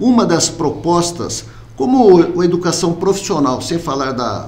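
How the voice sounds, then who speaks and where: High-pitched for a man, this speaker talks at a fairly slow pace. Audible room echo and noticeable background noise surround him. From Brazil, Americana (São Paulo state). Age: 60s. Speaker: mayoral candidate. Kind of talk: interview.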